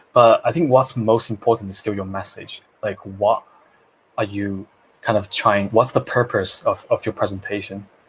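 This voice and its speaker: The speaker is a man with a non-native accent. He talks at a moderate pace. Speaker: public speaking coach, co-host. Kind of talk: casual live Q&A discussion. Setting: Facebook live video stream.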